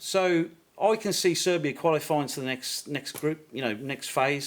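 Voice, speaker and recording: A man with a Birmingham accent speaks in a high voice. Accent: Birmingham (Brummie). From England, Birmingham. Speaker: YouTuber visiting football fans. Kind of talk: podcast interview.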